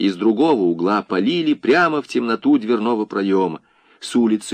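Someone is reading aloud in a natural voice. The text is read straight through.

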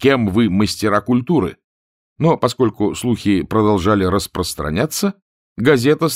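Someone reads aloud in a natural voice, the intonation lively and the background quiet.

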